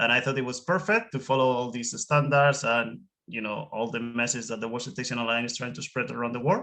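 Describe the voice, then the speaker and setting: Over a quiet background, a man with a Spanish accent and medium pitch speaks at a very fast pace with hardly any pauses, a bright, sharp tone and ordinary pitch variation. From Spain. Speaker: whale watching guide. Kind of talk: webinar interview.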